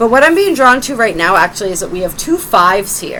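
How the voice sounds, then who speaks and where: The voice is loud, with very wide pitch swings. Noticeable background noise runs underneath. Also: woman. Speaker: tarot reader. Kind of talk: tarot reading.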